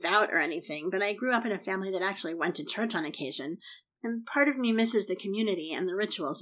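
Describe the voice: The text is plainly read aloud. Nothing more is added to the reading.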